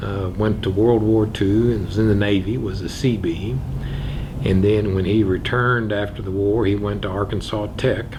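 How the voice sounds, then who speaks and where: Noticeable background noise sits behind a man with an American accent and fairly low pitch. He keeps a moderate pace with ordinary pitch variation. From Missouri Ozarks. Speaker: circuit judge. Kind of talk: oral history interview answer.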